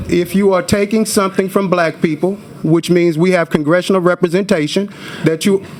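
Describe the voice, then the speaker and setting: Amid noticeable background noise, a man with a high pitch speaks at a fairly quick pace with very even loudness. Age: 40s. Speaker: activist. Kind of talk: testimony. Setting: legislative committee hearing. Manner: animated.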